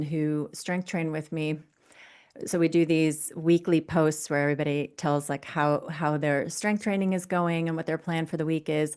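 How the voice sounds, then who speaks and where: An ordinary speaking voice with an American accent moves at a moderate pace. The intonation stays fairly even over a quiet background. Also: woman. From US. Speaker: fitness coach. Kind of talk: interview.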